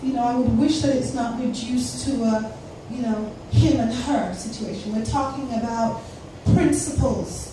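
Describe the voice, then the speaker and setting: Speaking fairly slowly at a high pitch, a woman is heard with audible room echo and noticeable background noise. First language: not English. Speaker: academic speaker on Pan-African issues. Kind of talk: conference panel answer. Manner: halting, many fillers.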